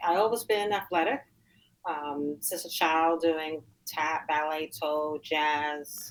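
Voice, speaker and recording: Speaking at a fairly slow pace, a woman with a fairly low pitch talks in a New York accent. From Queens, New York. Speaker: weightlifter and tutor. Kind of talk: interview. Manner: halting.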